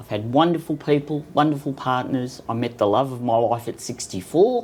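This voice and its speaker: With an Australian accent, a woman speaks at a very deep, low pitch and a fairly slow pace, with ordinary pitch variation. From Sydney, Australia. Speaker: cancer patient. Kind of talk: casual interview.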